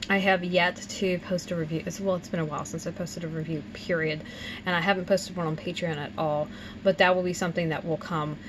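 Over noticeable background noise, a woman talks very fast in a fairly low pitch with fairly even intonation. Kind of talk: casual vlog chat. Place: home room.

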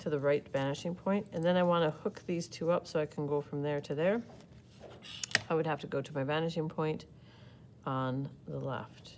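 A moderate pace with light background noise. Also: woman. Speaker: art teacher. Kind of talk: tutorial. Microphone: phone near.

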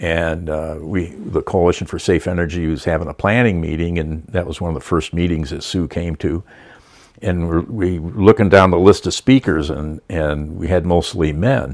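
A man with a very deep, low voice speaks at a moderate pace with ordinary pitch variation against a quiet background. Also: dry sound with no echo. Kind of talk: interview answer. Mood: warm, fond. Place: home room. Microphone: lapel.

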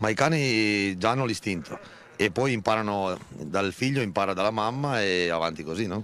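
A plain, everyday voice moves at a moderate pace with ordinary pitch variation, dry with no echo over light background noise. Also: man, fairly low pitch for a man. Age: 30s. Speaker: shepherd. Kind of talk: interview. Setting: outdoors. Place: open country. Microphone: handheld.

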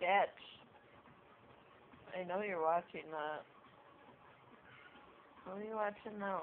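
A woman mumbles at a fairly slow pace with fairly even intonation and long, frequent pauses. Light background noise is present. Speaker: cat owner. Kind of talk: casual talk to a pet on camera. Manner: mumbling. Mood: teasing, mock annoyed. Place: home room. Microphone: phone near.

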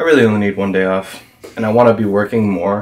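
Here a man speaks with a plain, everyday voice at a fairly low pitch. He moves at a fairly quick pace. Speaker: vlogger. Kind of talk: casual vlog chat. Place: home room. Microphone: camera far.

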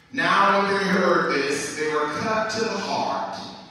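Strong room echo surrounds a man's voice. He speaks at a very slow pace with ordinary pitch variation. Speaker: minister reading scripture. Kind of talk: scripture reading in a service. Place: church.

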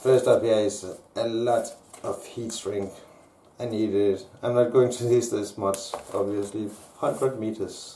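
Over noticeable background noise, a man talks at medium pitch in a monotone, flat delivery, fairly slow and with long, frequent pauses. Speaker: maker unboxing 3D printer parts. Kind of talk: unboxing video. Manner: halting.

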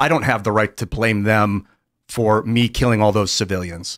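Against a quiet background, someone talks fairly quickly. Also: man. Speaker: talk show co-host. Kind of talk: casual panel talk show. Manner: animated. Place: studio. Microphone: studio mic.

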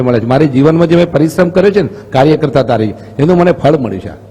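Over noticeable background noise, a man talks at a fairly high pitch with lively intonation. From north Gujarat, Mehsana district. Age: 60s. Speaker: politician, parliamentary candidate. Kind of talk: interview.

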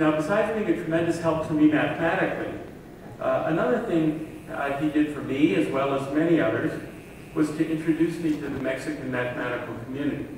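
The man's voice carries strong room echo. Light background noise can be heard. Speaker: speaker. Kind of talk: memorial lecture. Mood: warm, respectful tribute. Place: hall.

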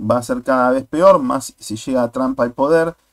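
The recording is dry and close with no echo as a man with a normal speaking voice speaks at a moderate pace with fairly even intonation. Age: 40s. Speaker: YouTuber, political commentator. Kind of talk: video commentary monologue.

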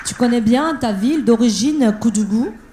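Over faint background noise, a woman speaks at a moderate pace in a fairly high voice with a dark, mellow tone and lively intonation.

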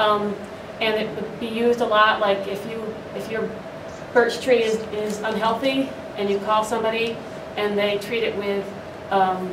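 Fairly quick speech from a woman, with noticeable background noise. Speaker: arborist. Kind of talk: panel discussion. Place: hall. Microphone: handheld.

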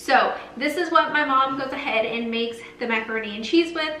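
A woman with a high pitch speaks at a moderate pace amid light background noise and audible room echo. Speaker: lifestyle vlogger. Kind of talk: casual vlog chat. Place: kitchen. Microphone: camera far.

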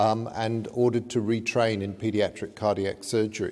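A man talks at a moderate pace in a dark, mellow tone. His intonation is fairly even. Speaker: conference lecturer. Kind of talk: lecture. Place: hall. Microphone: podium.

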